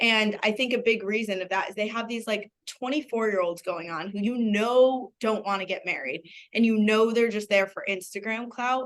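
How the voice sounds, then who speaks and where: A woman's fairly high pitch shows ordinary variation in a plain, everyday voice. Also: moderate pace. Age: 30s. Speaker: podcast co-host. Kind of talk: casual chat.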